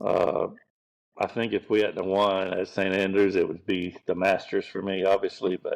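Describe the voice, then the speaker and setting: A man speaks in a relaxed tone with a Gulf Coast Southern US accent. His pace is moderate. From US South, Pensacola, Florida. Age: 60s. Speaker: professional golf caddie. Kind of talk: podcast interview. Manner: relaxed storytelling.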